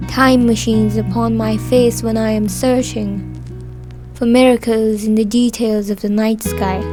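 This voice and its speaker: She talks at a fairly slow pace. Behind her, music is playing. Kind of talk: poetry reading.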